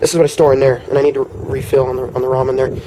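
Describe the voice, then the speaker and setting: A man speaks at a very fast pace over noticeable background noise. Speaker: survival gear vlogger. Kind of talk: show-and-tell tutorial. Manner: hesitant, many fillers.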